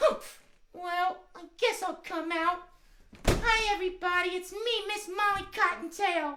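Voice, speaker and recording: An extremely high-pitched cartoonish character voice at a fairly slow pace. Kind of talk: children's show puppet. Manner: cranky, frustrated.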